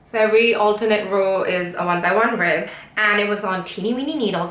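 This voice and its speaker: A woman's medium-pitched voice comes through with noticeable background noise and audible room echo. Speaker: knitting YouTuber. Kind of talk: casual monologue, craft review.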